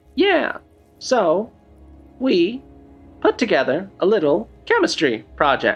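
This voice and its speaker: A put-on character voice at middle pitch, fairly slow with long, frequent pauses, over faint music in the background. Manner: noir detective.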